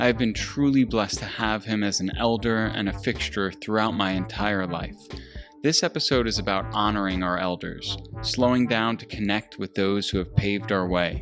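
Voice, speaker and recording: Over background music, a man speaks at a fairly low pitch with ordinary pitch variation. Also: moderate pace. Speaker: podcast host. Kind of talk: podcast intro.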